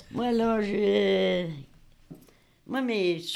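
Audible room echo hangs around the woman as she speaks. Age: old. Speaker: retired hospital switchboard operator, senior resident. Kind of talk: interview.

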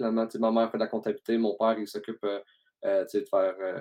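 A man with a Quebec accent, medium pitch and a dark, mellow tone at a very fast pace, in a dry, close sound with no echo. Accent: Québécois French. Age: 30s. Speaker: podcast host, entrepreneur. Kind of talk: casual interview chat.

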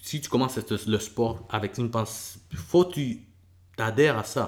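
A man talks at a fairly slow pace. His medium-pitched voice is somewhat breathy. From El Salvador, moved to Quebec at 11. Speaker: MMA fighter and bus driver. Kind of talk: casual interview.

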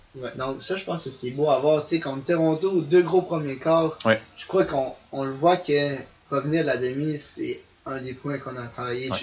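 Over noticeable background noise, a man with a fairly high pitch speaks at a fairly slow pace, his loudness swinging widely while his intonation stays fairly even. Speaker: ultimate frisbee player. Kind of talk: casual interview.

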